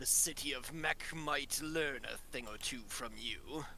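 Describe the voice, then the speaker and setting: Over clear background noise, a man puts on a character voice with a fairly high pitch and speaks at a fairly slow pace. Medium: actual play. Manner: formal, blunt.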